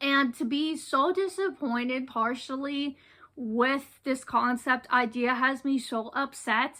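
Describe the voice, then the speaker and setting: In a very clean recording with a silent background, a raised, projected voice with a bright, sharp tone moves at a very slow pace with fairly even intonation. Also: woman, high pitch for a woman. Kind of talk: casual talk to camera.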